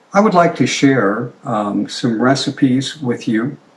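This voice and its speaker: Noticeable background noise surrounds a man who speaks at a fairly slow pace. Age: 70s. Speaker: retired pediatric ophthalmologist. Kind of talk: informal talk to colleagues.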